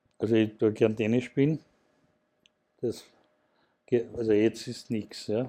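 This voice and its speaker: Fairly even intonation runs through a dark, mellow tone. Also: man. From Austria, Burgenland (Mattersburg). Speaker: broadcaster executive and project manager. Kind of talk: interview. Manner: halting.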